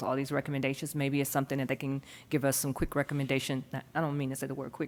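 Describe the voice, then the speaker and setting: A woman speaks at a very fast pace with a very deep, low pitch. The recording is very clean, with a silent background. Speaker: school board member. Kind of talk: board meeting discussion.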